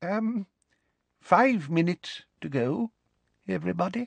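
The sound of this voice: In a dry, close recording with no echo, a man puts on a character voice pitched high, talking slowly with lively intonation and vocal fry.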